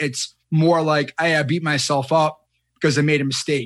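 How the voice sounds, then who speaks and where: Fairly even in intonation and fairly high in pitch, a man talks in an ordinary speaking voice. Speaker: podcast host. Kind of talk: interview conversation.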